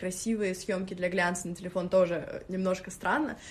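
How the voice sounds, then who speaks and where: A somewhat breathy woman's voice at a medium pitch. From Moscow. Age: 20s. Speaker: stylist and blogger. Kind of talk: interview.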